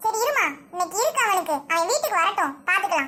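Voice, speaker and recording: In a put-on character voice, the speaker squeaks at an extremely high pitch and a fairly quick pace. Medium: comedy sketch. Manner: indulgent, affectionate.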